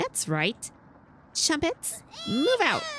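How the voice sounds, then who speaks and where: This is a put-on character voice. It sounds squeaky and extremely high. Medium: game stream.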